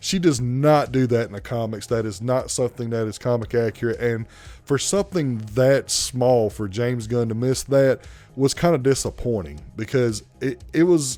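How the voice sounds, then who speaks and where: A man with a strong Southern US accent speaks at a moderate pace, at medium pitch. His pitch varies in an ordinary way, and music plays in the background. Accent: thick Southern US. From US South, South Carolina. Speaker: movie reviewer. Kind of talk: movie review monologue. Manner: animated.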